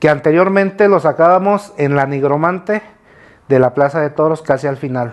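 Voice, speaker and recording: A man talks in a normal speaking voice at a moderate pace, his pitch fairly high with ordinary variation. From Arteaga, Michoacán, Mexico. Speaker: tradition group member. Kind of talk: interview.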